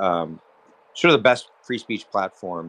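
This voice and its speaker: In a normal speaking voice, a man talks at a moderate pace with ordinary pitch variation, the sound dry and close with no echo. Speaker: lawsuit plaintiff. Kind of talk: question from audience. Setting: online audio space. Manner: formal.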